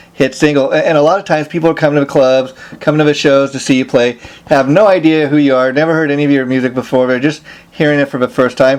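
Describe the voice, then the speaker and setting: Through noticeable background noise, a man talks very fast at a fairly high pitch with fairly even intonation. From Los Angeles, US. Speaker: interviewer. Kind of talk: interview. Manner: many fillers, um and you know.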